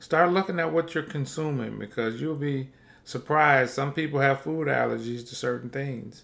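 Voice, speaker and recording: The pace of this voice is moderate. Its pitch variation is ordinary. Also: man. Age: 50s. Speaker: health podcast host and plant-based chef. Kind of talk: solo podcast monologue on health; reading aloud from articles. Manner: casual, animated.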